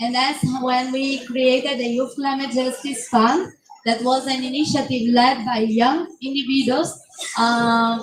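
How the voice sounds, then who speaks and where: A woman speaks loudly at a fairly slow pace with a high pitch and monotone, flat intonation. Audible room echo fills the recording. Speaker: youth climate activist. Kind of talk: panel discussion. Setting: conference pavilion, livestream.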